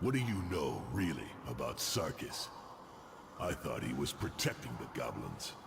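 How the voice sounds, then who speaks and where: A man puts on a character voice with a very deep, low pitch. Loud background noise fills the clip. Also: moderate pace. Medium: video game. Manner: terse, gruff.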